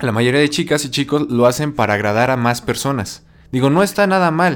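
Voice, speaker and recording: A man speaks at a medium pitch with a normal speaking voice. His pace is fairly quick and his pitch varies in an ordinary way. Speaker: podcast host. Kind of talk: casual chat.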